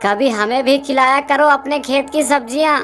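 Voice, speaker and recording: A woman's cartoonish character voice at a moderate pace, with clear background noise. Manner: familiar, jovial.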